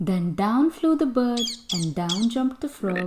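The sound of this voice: With a slightly mellow tone and medium pitch, a woman speaks slowly using lively intonation.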